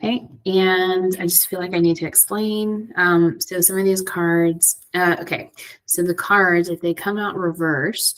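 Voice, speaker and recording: A woman talks quietly at a fairly slow pace. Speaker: tarot and oracle card reader. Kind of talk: divination card reading. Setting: library. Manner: hesitant, many fillers.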